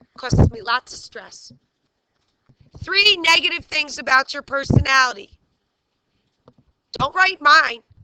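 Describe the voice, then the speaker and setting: A woman projects a raised voice with a bright, sharp tone and lively intonation, at a fairly slow pace. The sound is dry and close, with no echo. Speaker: teacher. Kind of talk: classroom lesson. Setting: classroom. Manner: loud; animated.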